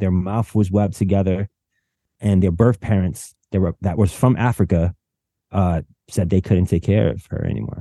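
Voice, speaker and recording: Dry and close with no echo, a man with a New York accent speaks at a fairly low pitch in a dark, mellow tone, his intonation fairly even, over a quiet background. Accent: New York City. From New York City, South Bronx. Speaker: filmmaker. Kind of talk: casual interview.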